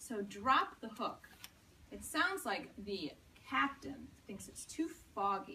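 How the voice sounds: A natural reading voice carries the text. The intonation stays lively throughout.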